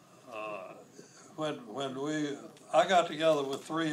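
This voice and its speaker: Noticeable background noise sits behind the recording. A man with an American accent talks at a fairly slow pace. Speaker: war veteran. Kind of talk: interview answer.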